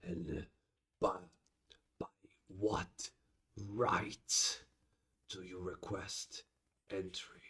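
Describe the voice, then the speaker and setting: A man's put-on character voice, whispering at a very slow pace with long, frequent pauses. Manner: imposing.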